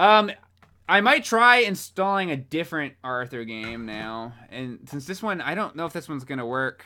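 A man speaks at a moderate pace with very wide pitch swings. His tone comes across bright and sharp. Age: 20s. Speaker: gaming streamer. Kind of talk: live gameplay stream chat. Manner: animated. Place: home room.

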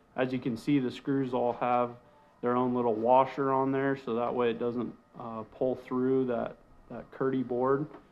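A man at a moderate pace, monotone and flat in intonation, with music in the background. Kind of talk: casual walkthrough explanation. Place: bathroom.

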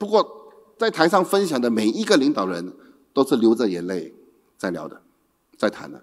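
Pitch leaps very widely while loudness rises and falls sharply. The pace is moderate, with long pauses that come often, against a quiet background. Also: man. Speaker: company executive director. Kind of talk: opening speech. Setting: stage with audience. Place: hall. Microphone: handheld.

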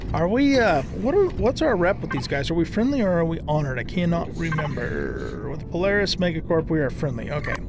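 A man talks at a fairly quick pace with hardly any pauses and very wide pitch swings. Noticeable background noise is present. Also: dry sound with no echo. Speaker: gaming video creator. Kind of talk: let's play gameplay commentary. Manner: relaxed, casual with many fillers. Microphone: headset.

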